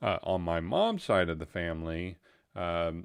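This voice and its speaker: A man's very deep, low voice with a Texan accent on a very clean recording with a silent background. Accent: Texan American. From Texas. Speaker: live stream host. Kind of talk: casual chat. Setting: live stream. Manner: halting, many fillers.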